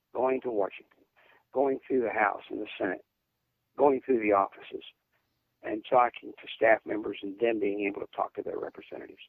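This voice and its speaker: A man talks with long, frequent pauses. His loudness swings widely. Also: moderate pace. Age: 60s. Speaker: political candidate and war veteran. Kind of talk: radio interview.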